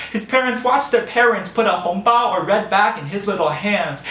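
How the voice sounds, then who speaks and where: Pitched high, a man speaks at a moderate pace amid noticeable background noise. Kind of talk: spoken word storytelling. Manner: rhythmic, rhyming delivery.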